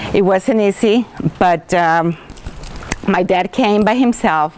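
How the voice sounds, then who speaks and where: Noticeable background noise sits behind a woman speaking with a Spanish accent. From Colombia. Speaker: school teacher. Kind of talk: personal talk to students.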